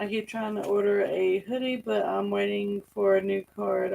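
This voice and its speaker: At a moderate pace, a woman with a Southern US accent speaks over noticeable background noise. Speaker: farm channel co-host. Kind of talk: livestream chat.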